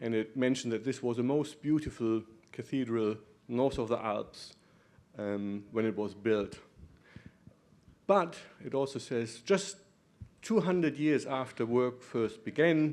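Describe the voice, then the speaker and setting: A man with a slight German accent speaks fairly slowly at a medium pitch, leaving long, frequent pauses. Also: ordinary pitch variation. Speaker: professor, muscular dystrophy doctor. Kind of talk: conference talk. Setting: conference room with audience.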